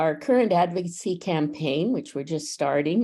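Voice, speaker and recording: Very deep and low-pitched, a woman's voice with a dark, mellow tone moves at a moderate pace with ordinary pitch variation in a very clean recording against a silent background. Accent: Canadian. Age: 70s. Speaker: advocacy network representative, panelist. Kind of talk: panel discussion.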